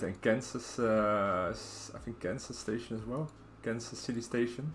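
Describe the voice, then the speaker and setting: In a relaxed tone, a man speaks with a Dutch accent. His pitch is fairly low and his intonation fairly even. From Netherlands, Rotterdam. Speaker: video game streamer. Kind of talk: casual live-stream chat while gaming. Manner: relaxed, hesitant with many fillers.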